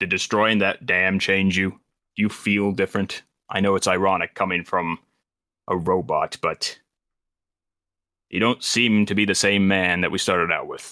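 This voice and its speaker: Putting on a character voice, a man with a fairly low pitch talks at a moderate pace, with long, frequent pauses. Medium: actual play. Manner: calm, measured.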